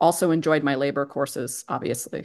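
An American accent at a moderate pace, set against a quiet background. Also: woman. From Pennsylvania. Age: 50s. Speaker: economics professor. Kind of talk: interview. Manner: halting.

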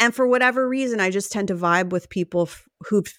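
A woman's plain, everyday voice with an American accent, medium pitch, lively intonation and a moderate pace, in a very clean recording with a silent background and a dry, close sound with no echo. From New Jersey. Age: 40s. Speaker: comedian and author. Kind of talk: casual chat.

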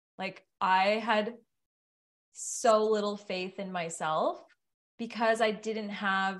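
Over a quiet background, a woman with an unremarkable speaking voice talks at medium pitch with fairly even intonation. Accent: Canadian. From Ottawa, Canada. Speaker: yoga teacher. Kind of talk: casual chat.

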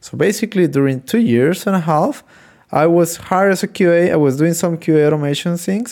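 This voice has a dark, mellow tone and a Spanish accent, moving at a fairly quick pace with lively intonation. The recording is very clean, with a silent background. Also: man. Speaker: software QA engineer and podcast host. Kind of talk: solo podcast monologue. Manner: halting, frequent fillers.

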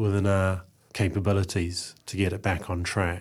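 In a New Zealand accent, a man speaks with a dark, mellow tone on a very clean recording with a silent background. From New Zealand, Eastbourne near Wellington. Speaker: journalist and academic researcher. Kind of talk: interview conversation. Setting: radio studio.

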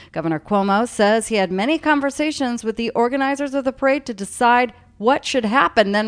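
A woman with an unremarkable speaking voice moves at a fairly quick pace, her intonation lively. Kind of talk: news reading. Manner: formal, brisk, steady newscaster delivery.

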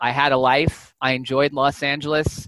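This man has an American accent and a fairly high pitch, with a bright, sharp tone. His intonation is monotone and flat, and the sound is dry and close with no echo. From Southern California, Santa Clarita. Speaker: data scientist and professor. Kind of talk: interview.

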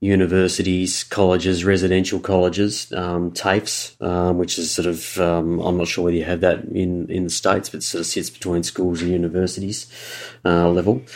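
A man speaks in an Australian accent with a very deep, low pitch. His intonation is monotone and flat, and his pace is moderate. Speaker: university fundraising and alumni relations professional. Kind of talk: casual interview conversation. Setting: remote call.

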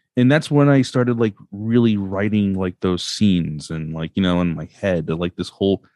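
This man has a fairly low pitch and an American accent. He speaks at a fairly quick pace with ordinary pitch variation. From Brooklyn, New York. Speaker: comic book artist. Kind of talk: casual interview. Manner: halting.

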